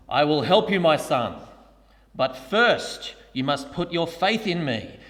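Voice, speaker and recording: In a put-on character voice, a man uses a high pitch that sounds resonant. He delivers it at a fairly slow pace. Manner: majestic, resonant, booming.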